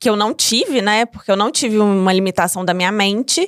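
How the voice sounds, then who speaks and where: The speaker has a slight mineiro accent and fairly even intonation. The recording is very clean, with a silent background. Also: woman, dry, close sound with no echo. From Minas Gerais, Brazil. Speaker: entrepreneur. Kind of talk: interview podcast.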